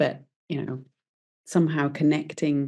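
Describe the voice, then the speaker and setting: With a British accent, a woman speaks in a very deep, low pitch, her tone dark and mellow and her intonation monotone and flat. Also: quiet background. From UK. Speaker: entrepreneur. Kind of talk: interview. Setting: podcast.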